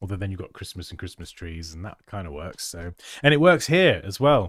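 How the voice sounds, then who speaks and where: Using very wide pitch swings at a moderate pace, the speaker has a British accent on a very clean recording with a silent background. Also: man. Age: 30s. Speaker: graphic designer and design educator. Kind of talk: livestream design review. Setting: livestream. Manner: animated.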